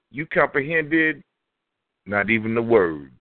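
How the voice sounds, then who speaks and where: A man with a Texas accent speaks in an animated, enthusiastic tone with lively intonation. His pace is fairly slow. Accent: Southern US, Texas. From Houston, Texas. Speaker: spoken word poet. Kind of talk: spoken word poetry performance.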